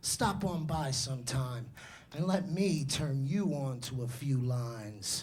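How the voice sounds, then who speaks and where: In a New York accent, a man speaks very slowly and somewhat breathily, with ordinary pitch variation and audible room echo. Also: medium pitch for a man. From New York City. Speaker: slam poet. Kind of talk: spoken word performance. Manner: animated.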